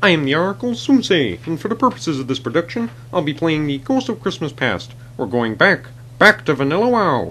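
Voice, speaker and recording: Someone uses a put-on character voice at a low-to-middle pitch and a fairly quick pace, with clear background noise behind it. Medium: machinima. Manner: inverted word order as Present ghost.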